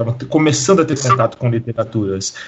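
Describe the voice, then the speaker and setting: This man sounds somewhat breathy, with lively intonation. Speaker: hip hop historian and teacher. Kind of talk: podcast interview.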